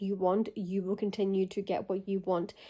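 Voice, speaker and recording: This woman's voice has a dark, mellow tone and medium pitch, delivered at a moderate pace. Her intonation stays flat and monotone on a very clean recording with a silent background. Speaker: spiritual channeler. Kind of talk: channelled message to viewers. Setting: at home getting ready for bed.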